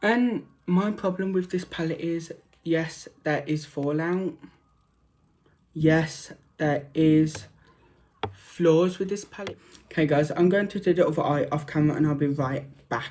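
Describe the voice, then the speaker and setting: This man speaks with a Birmingham accent and a fairly high voice, with ordinary pitch variation. His pace is fairly slow, broken by long, frequent pauses. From Birmingham, England. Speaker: makeup vlogger. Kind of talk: makeup tutorial and review. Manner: speaking up louder.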